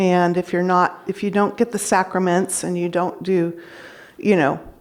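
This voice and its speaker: Monotone, flat intonation marks this woman's moderately paced speech, set against noticeable background noise. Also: medium pitch for a woman. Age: 60s. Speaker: public speaker sharing near-death experience. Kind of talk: talk to an audience, personal testimony. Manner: halting, many fillers.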